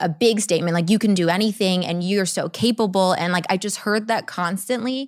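A woman with an American accent and an unremarkable speaking voice, medium pitch and ordinary pitch variation, on a very clean recording with a silent background. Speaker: actress and model. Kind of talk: casual interview chat.

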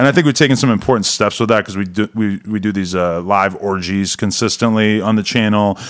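A man speaks in a normal speaking voice at a fairly low pitch. He goes at a fairly quick pace with hardly any pauses and ordinary pitch variation. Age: 40s. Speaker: adult film creator and podcast host. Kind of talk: casual chat.

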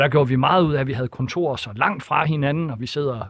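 A man with an ordinary speaking voice, medium pitch and a fairly quick pace. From Denmark, Thisted (northern Jutland). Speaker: politician. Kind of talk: radio interview.

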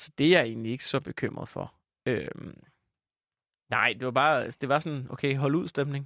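A man's fairly high voice at a moderate pace, with fairly even intonation and long, frequent pauses, in a very clean recording with a silent background and a dry, close sound with no echo. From Jutland, Denmark. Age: 20s. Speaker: comedian and podcaster. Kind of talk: casual interview chat. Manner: rambling, hesitant, filler-heavy.

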